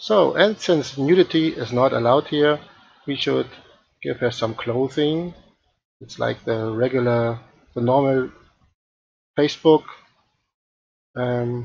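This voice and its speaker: A man with a non-native accent talks fairly slowly at a medium pitch, with long, frequent pauses. His loudness swings widely, his pitch varies in an ordinary way, and the background is quiet. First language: not English. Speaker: 3D art tutor streamer; live streamer doing a software demo. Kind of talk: live-stream tutorial; tutorial. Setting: live stream. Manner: halting, many fillers. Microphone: headset.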